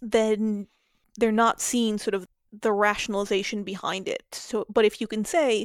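A woman with an unremarkable speaking voice, fairly high in pitch, talks at a moderate pace in a dry, close sound with no echo. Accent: American. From US Southwest (New Mexico). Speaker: data scientist. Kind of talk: casual interview. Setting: remote recording from Chicago.

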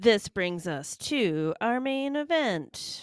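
A female-sounding voice puts on a character voice at a very slow pace, pitched fairly high with very wide pitch swings. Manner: dramatic, announcing.

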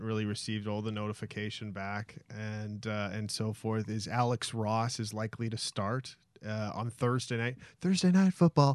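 A man speaks at a fairly quick pace in a plain, everyday voice, medium in pitch with ordinary pitch variation. The background is quiet. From Winnipeg, Canada. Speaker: sports talk co-host. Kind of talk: casual chat. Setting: studio.

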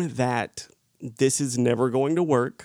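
This man speaks with a Southern US accent at a medium pitch. His intonation is fairly even. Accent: noticeable Southern US. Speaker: actor, podcast co-host. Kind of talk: casual chat.

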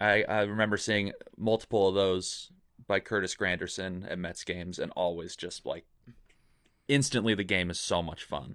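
This man has an ordinary speaking voice with fairly low pitch, ordinary pitch variation and a moderate pace. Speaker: podcast guest. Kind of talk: casual chat. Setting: video call. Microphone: professional microphone with pop filter.

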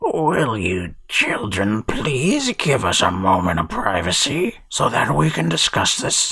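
At a fairly slow pace, a man puts on a character voice pitched fairly low. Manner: strained, feigned politeness.

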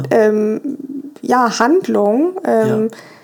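A woman with a fairly high pitch is heard against noticeable background noise. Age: 30s. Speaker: interviewee sharing breakup experience. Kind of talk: interview. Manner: halting, many fillers.

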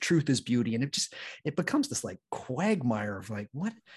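There is a somewhat breathy quality to this man's medium-pitched voice. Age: 30s. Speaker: podcast host guest. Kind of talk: casual chat.

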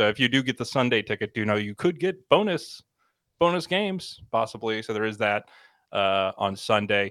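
On a very clean recording with a silent background, a man speaks at a moderate pace with a medium pitch. The sound is dry and close with no echo, and his intonation is lively. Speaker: podcast co-host. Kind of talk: casual chat. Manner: casual, unprojected delivery.

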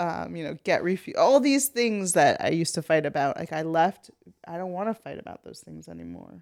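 A woman speaks at a fairly quick pace. Her loudness swings widely. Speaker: ex-fundamentalist guest, parent. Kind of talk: casual interview.

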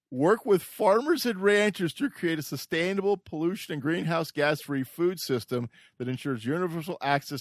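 A man's ordinary speaking voice, fairly high-pitched with lively intonation and a fairly quick pace, in a dry, close sound with no echo. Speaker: podcast co-host. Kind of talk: casual political debate.

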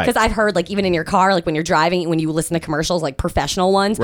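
A woman's fairly low voice at a very fast pace, fairly even intonation, and noticeable background noise. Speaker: radio host.

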